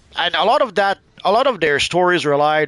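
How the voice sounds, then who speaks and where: A man talks at a fairly quick pace with lively intonation. The sound is dry and close, with no echo. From Quebec, Canada. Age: 50s. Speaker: gaming streamer. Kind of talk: casual live-stream chat while gaming. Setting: live stream. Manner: halting, many repetitions and fillers.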